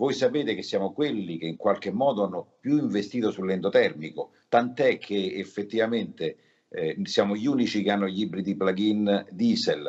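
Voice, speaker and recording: At a moderate pace, a man speaks against a quiet background. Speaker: car company communications manager. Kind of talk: interview. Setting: remote video link. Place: office. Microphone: video call.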